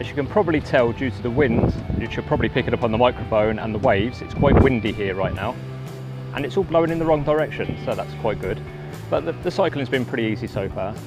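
A man speaking at a very fast pace over clear music in the background. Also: dry sound with no echo. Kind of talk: casual vlog chat. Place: waterside. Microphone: phone near.

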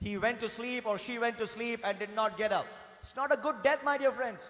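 In an Indian accent, this speaker sounds animated, with ordinary pitch variation. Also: man. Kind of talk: fervent sermon to a congregation, with call-and-response praise. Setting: church congregation. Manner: animated, emphatic, urging the crowd with raised energy; earnest, with repetition and direct address. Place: church. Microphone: podium.

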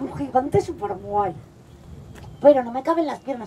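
There is light background noise. Over it, a woman talks. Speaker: storyteller. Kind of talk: storytelling performance for children. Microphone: headset.

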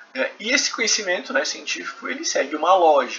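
A man's voice comes with clear background noise around it. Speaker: professor. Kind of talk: lecture. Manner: conversational, frequent filler 'né'.

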